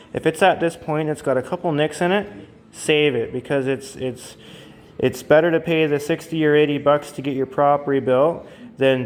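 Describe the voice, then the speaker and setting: Speaking with an Ontario accent, a man moves at a fairly quick pace with ordinary pitch variation. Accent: Canadian English (Ontario). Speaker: outboard motor mechanic. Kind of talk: tutorial. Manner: halting, many fillers; unscripted, conversational.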